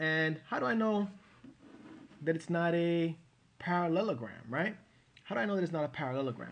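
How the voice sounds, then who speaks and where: A man talking at a fairly quick pace, with ordinary pitch variation. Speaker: math teacher. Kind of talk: tutorial. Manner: fast; hesitant fillers.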